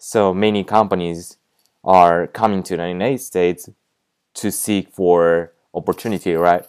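With a Japanese accent, this speaker talks at a moderate pace with fairly even intonation on a very clean recording over a silent background. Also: man, very deep, low pitch for a man. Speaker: podcast host, language tutor. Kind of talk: casual monologue with tips. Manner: halting, many fillers.

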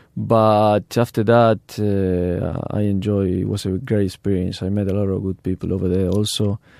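A man's fairly low, dark, mellow voice with a Spanish accent, monotone and flat, at a moderate pace with hardly any pauses, on a very clean recording with a silent background. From Argentina. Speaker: professional footballer. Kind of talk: interview. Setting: studio. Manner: halting, many fillers.

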